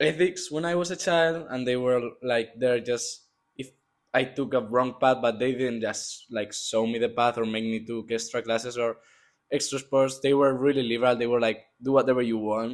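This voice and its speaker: Here a man talks at a moderate pace and a medium pitch, with fairly even intonation. The recording is very clean, and the background is silent. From Spain, Madrid. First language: Spanish. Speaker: student athlete, water polo player. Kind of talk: interview.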